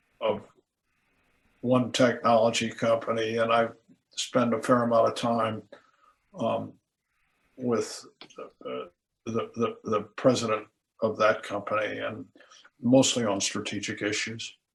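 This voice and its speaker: A man's monotone, flat intonation with vocal fry, a fairly slow pace and long, frequent pauses. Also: medium pitch for a man. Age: 80s+. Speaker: retired tech executive and venture investor. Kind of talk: interview. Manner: halting.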